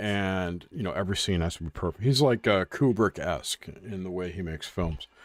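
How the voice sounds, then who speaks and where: Fairly quick and with hardly any pauses, a man's very deep, low voice shows ordinary pitch variation in a dry, close sound with no echo. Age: 60s. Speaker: podcast co-host. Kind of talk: casual chat.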